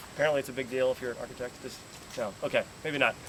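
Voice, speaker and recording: With an American accent, a man talks at a fairly high pitch. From New York. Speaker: school tour guide. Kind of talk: guided tour talk to visitors. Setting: outdoors. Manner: fast.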